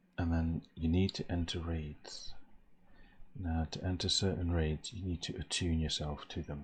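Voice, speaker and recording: A soft-spoken man talks at a moderate pace with a very deep, low pitch, a somewhat breathy sound and monotone, flat intonation. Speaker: gamer. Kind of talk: ASMR gaming talk. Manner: low, soft.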